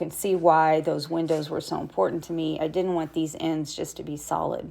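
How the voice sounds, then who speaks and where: A woman speaks at a moderate pace in a fairly low pitch. Her intonation stays flat and monotone throughout. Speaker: animal sanctuary behavior educator. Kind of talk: educational narration over video.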